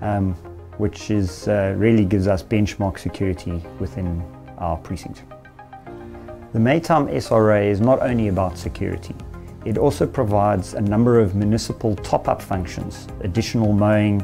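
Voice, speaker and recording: Clear music plays in the background as a man with a fairly low voice talks at a moderate pace with ordinary pitch variation. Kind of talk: interview answer. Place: office. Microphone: lapel.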